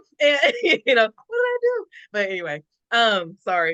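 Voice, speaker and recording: A woman with a high pitch and a bright, sharp tone, very wide pitch swings, in a dry, close sound with no echo. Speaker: podcast host. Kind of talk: casual chat. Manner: halting.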